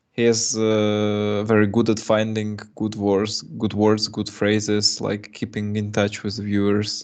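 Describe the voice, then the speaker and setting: A man talks at a fairly slow pace with hardly any pauses. His pitch is fairly low, and his intonation is monotone and flat. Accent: Russian. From Russia (Moscow). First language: Russian. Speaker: chess streamer and coach. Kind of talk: live chess commentary. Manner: halting.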